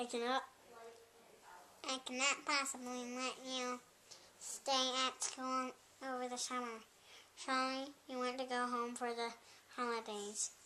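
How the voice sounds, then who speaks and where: A put-on character voice at a moderate pace, monotone and flat, broken by long, frequent pauses, with clear background noise. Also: woman, high pitch for a woman. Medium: read story. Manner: kindly.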